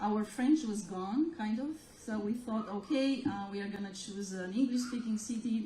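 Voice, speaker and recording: A woman talks at a moderate pace in a Romanian accent, her pitch medium. Noticeable background noise sits behind her. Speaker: gallery owner. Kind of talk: interview.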